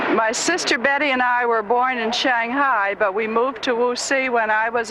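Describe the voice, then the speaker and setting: Against noticeable background noise, a woman with an American accent speaks at a fairly slow pace in a fairly high pitch. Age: 60s. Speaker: traveler. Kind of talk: casual chat. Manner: slow, simplified speech.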